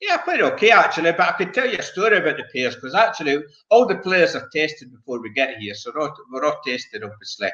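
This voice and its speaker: A man with a Scottish accent, very fast, with big swings in loudness. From Scotland. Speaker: bowls player, former world champion. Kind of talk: casual chat.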